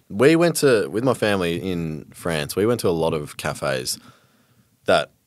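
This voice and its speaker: A man with a very deep, low pitch, lively intonation and an Australian accent. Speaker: podcast host. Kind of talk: casual chat.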